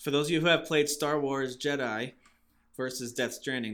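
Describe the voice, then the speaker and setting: In a very clean recording with a silent background, a man with an American accent speaks at a fairly quick pace. He has an unremarkable speaking voice and fairly even intonation. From Massachusetts. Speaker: gaming podcast host. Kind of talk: casual chat.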